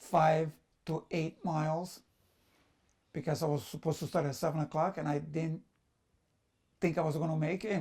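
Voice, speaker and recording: Vocal fry at a fairly quick pace. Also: man. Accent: Sicilian. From Sicily, Italy. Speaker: immigrant business owner. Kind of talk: personal storytelling. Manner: halting, with fillers and repetitions.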